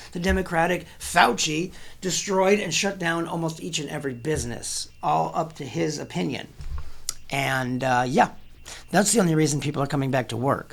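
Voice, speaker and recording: This man talks at a moderate pace in an animated tone. His pitch is fairly high, with vocal fry. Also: ordinary pitch variation. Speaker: political commentary host. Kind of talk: political commentary monologue.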